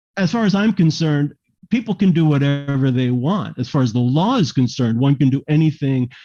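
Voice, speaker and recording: In an American accent, a man speaks with a dark, mellow tone and lively intonation. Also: quiet background. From US, Miami. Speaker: theater artistic director. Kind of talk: interview. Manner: animated.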